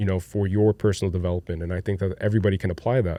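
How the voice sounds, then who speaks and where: A man's dark, mellow voice, fairly low in pitch, with fairly even intonation against a quiet background. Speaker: solo podcast host. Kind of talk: casual confessional monologue. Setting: home studio. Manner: hesitant, repetitive, nervous breathing.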